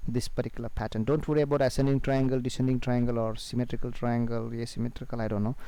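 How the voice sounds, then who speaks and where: Very fast and fairly even in intonation, a man speaks at a medium pitch with a dark, mellow tone. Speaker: trading educator. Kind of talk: tutorial. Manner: hesitant, many fillers.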